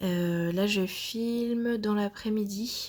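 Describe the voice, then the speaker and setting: A woman talks at a very slow pace. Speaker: plant hobbyist. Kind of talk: voice-over plant tour. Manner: hesitant, casual.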